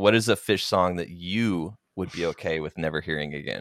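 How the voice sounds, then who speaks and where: A man with an American accent has a very deep, low voice. The very clean recording is dry and close, with no echo and a silent background. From Oklahoma. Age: 30s. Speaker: podcast host. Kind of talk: casual chat.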